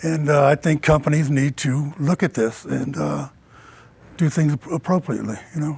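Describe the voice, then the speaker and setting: A man has a normal speaking voice, fairly high and fairly even in intonation. He speaks at a moderate pace in a dry, close sound with no echo. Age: 60s. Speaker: city council candidate. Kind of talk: political debate. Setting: studio.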